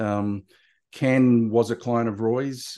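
Over a quiet background, a man with an Australian accent speaks in a dark, mellow tone at a medium pitch with fairly even intonation. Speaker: marketing consultant and author. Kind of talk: casual interview.

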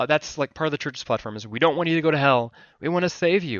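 A man talks with an Alaskan accent. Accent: American, Alaskan. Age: 30s. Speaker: filmmaker and photographer. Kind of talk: interview testimony.

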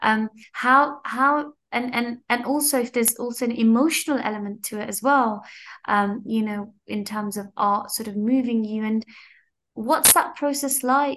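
Against a quiet background, a woman with an unremarkable speaking voice speaks at a moderate pace, her fairly high pitch held in a fairly even intonation. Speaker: interviewer. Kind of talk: interview conversation. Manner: warm, encouraging.

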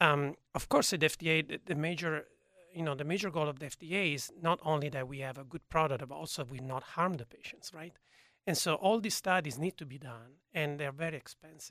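A man speaks at a fairly quick pace in a bright, sharp tone, his loudness swinging widely, on a very clean recording with a silent background. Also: fairly high pitch for a man, ordinary pitch variation. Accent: Italian. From Italy, Turin. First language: Italian. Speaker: gene therapy researcher. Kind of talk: interview. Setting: studio. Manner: halting.

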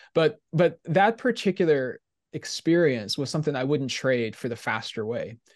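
A man talks in a plain, everyday voice, fairly high and with lively intonation. His pace is moderate, and the background is quiet. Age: 40s. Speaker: theology professor. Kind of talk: casual interview.

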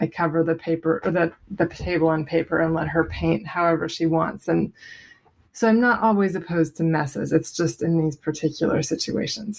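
An unremarkable speaking voice comes through, its pitch varying in an ordinary way. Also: woman. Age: 30s. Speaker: stay-at-home mother. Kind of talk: voicemail question.

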